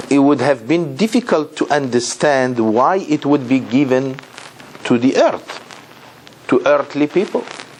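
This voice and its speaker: With fairly high pitch and ordinary pitch variation, a man speaks at a fairly slow pace and very even loudness amid noticeable background noise. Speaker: rabbi, Torah teacher. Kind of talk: lecture.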